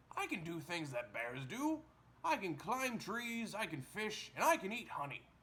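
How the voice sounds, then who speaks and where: Putting on a character voice, a man speaks high in pitch with very wide pitch swings. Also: moderate pace. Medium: read story. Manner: earnest, defensive.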